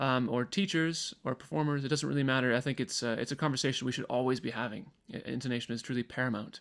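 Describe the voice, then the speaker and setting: Speaking very fast with hardly any pauses, a man with an American accent uses ordinary pitch variation on a very clean recording with a silent background. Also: medium pitch for a man. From Michigan, US. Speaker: professional choral singer and workshop presenter. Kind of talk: pre-recorded workshop lecture.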